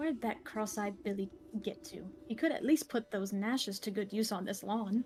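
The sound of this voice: The speaker reads in an unforced reading voice.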